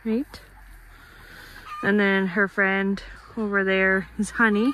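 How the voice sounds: A woman's slow, medium-pitched voice with little pitch movement and a bright, sharp tone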